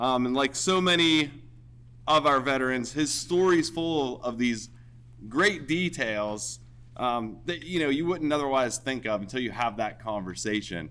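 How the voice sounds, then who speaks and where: A man with an American accent talks loudly at a medium pitch and a fairly slow pace. His tone is bright and sharp, his intonation lively. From Pennsylvania, Cambria County (Mineral Point). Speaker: military veteran. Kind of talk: ceremony speech.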